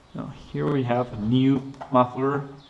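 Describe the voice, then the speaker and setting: Amid noticeable background noise, a man speaks at a medium pitch in a monotone, flat intonation. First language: Spanish. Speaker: motorcycle mechanic youtuber. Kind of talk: tutorial. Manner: halting.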